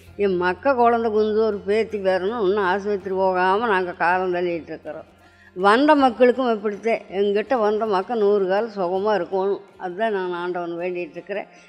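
A woman's voice with fairly even intonation and faint music in the background. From Coimbatore, Tamil Nadu, India. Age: 80s+. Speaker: yoga teacher. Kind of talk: interview answer. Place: home room. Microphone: handheld.

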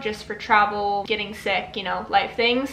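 Audible echo from the room follows a female speaker. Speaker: vlogger. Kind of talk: casual vlog chat. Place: home room. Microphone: camera far.

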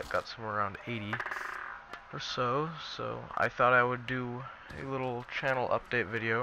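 A man's voice against noticeable background noise. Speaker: gaming YouTuber. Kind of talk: casual talk to camera. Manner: rambling, off-topic.

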